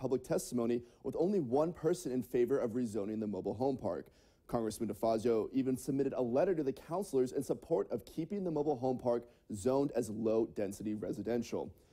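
A man with a dark, mellow tone, lively intonation and a very fast pace against a quiet background. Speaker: TV news reporter. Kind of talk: news report. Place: studio.

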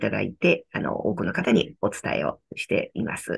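A woman at a fairly quick pace, with a quiet background. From Tokyo, Japan. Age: 60s. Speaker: company founder and author, decluttering consultant. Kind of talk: interview, reflective talk. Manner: calm, gentle, warm, thoughtful with fillers. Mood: warm, earnest. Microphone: video call.

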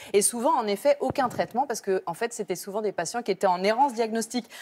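A woman is speaking. Her voice is pitched fairly high. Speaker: health reporter. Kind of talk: TV reporting. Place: studio. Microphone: lapel.

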